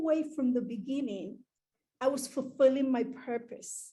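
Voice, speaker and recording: Speaking with an American accent, a woman at a high pitch keeps a fairly slow pace and ordinary pitch variation. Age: 60s. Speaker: entrepreneur speaker. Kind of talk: motivational talk.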